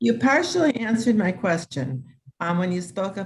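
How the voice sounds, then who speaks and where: A woman talks in a somewhat breathy voice. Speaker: participant with Parkinson's asking a question. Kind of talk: question in online class Q&A. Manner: slurred speech at times; halting.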